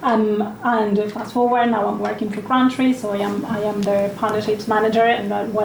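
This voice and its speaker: Against noticeable background noise and audible room echo, a woman speaks at a fairly high pitch in a monotone, flat intonation. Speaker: partnerships manager, panelist. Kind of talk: panel discussion.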